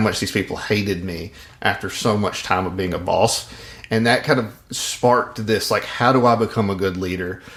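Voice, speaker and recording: Speaking at a moderate pace, a man with a Mississippi accent has a fairly low pitch. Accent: Southern (Mississippi). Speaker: podcast host, leadership coach. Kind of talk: casual podcast chat. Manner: hesitant, many fillers.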